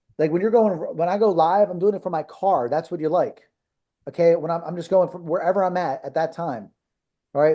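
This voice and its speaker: A man's high-pitched, dark, mellow voice in a Philadelphia accent, fairly quick, with ordinary pitch variation, against a quiet background. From US Northeast, South Philadelphia. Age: 50s. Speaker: marketing coach for martial arts schools. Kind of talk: live coaching webinar. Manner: animated.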